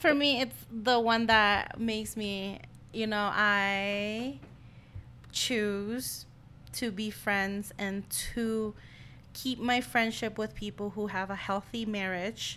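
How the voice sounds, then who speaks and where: A woman with a bright, sharp tone speaks at a very slow pace in a fairly high pitch, her intonation fairly even. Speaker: podcast host. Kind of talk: casual chat.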